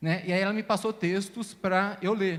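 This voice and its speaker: In a very clean recording with a silent background, a man speaks at a high pitch. His pace is moderate. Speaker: teacher. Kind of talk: casual chat.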